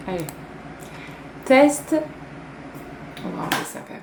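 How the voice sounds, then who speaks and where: Recorded with noticeable background noise and audible room echo, a woman is speaking. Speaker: YouTuber. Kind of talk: casual vlog to camera. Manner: laughing.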